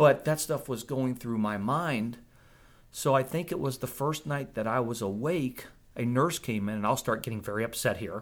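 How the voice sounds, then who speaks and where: A man with a normal speaking voice talks at medium pitch and a moderate pace, with ordinary pitch variation. The recording is very clean, with a silent background. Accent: American. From northern Virginia, US. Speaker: COVID survivor telling testimony. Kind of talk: testimony, interview.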